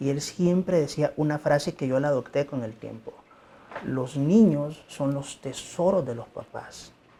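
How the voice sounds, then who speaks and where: A man with a Mexican accent, a fairly high pitch, fairly even intonation and a fairly slow pace. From Mexico. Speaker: pediatric emergency doctor. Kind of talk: interview.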